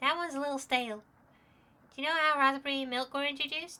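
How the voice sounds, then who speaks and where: A put-on character voice rattles along at a very fast pace. The recording is very clean, with a silent background. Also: female-sounding voice, high pitch for a woman. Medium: game stream. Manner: punny, upbeat.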